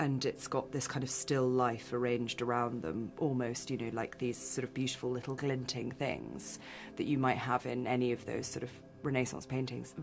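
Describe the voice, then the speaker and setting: A woman with a British accent, very deep and low in pitch, at a moderate pace with ordinary pitch variation, clear music in the background. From England. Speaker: film director. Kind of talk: interview answer.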